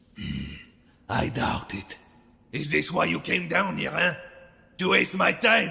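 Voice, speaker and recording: A man uses a put-on character voice, fairly high in pitch, moving at a fairly slow pace with long, frequent pauses. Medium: read story. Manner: gruff, curt, domineering.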